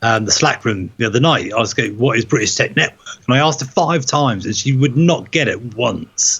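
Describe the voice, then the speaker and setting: In a Norfolk accent, a man speaks with lively intonation and a somewhat breathy voice. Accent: Norfolk accent, self-described as dodgy. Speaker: tech podcast host. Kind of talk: casual chat. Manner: animated.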